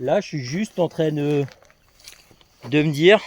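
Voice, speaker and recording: A man at a very slow pace with ordinary pitch variation, dry, close sound with no echo, and noticeable background noise. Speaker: travel vlogger. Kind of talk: casual vlog monologue. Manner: hesitant, many fillers.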